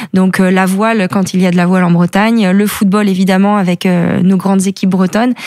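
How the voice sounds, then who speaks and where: A woman's medium-pitched, monotone, flat delivery at a fairly quick pace, very even in loudness with hardly any pauses, over noticeable background noise. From Brittany (Côtes d'Armor). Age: 30s. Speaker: professional cyclist. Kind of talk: interview. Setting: studio.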